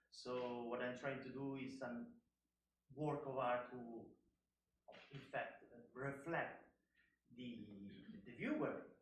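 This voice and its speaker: Speaking at a very slow pace with long, frequent pauses, a man with a medium pitch holds a monotone, flat intonation while audible room echo surrounds him. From Italy. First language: Italian. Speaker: artist. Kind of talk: panel talk. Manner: halting.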